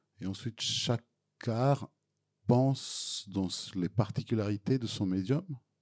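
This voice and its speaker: With a Serbian accent, a man talks at a very slow pace, leaving long, frequent pauses. His pitch is medium, with ordinary pitch variation. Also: dry, close sound with no echo. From Serbia (former Yugoslavia). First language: Serbian (speaking French). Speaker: film director. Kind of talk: Q&A after a film screening. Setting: cinema hall with audience. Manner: halting, frequent repetitions.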